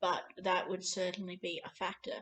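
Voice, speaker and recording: With an Australian accent, a woman talks at a moderate pace and medium pitch. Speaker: vlogger on Scottish Gaelic. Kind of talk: casual vlog talk. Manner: hesitant, many fillers.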